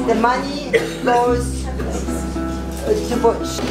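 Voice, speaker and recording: Loud music plays in the background. A woman is speaking over it. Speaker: host of fundraiser dinner. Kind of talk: speech to guests. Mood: warm, grateful. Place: cafe. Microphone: camera far.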